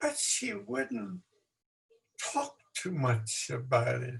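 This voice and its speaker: In an American accent, a man speaks at a very slow pace. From Baltimore, Maryland. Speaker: local historian and author, military veteran. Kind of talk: storytelling talk at a virtual event.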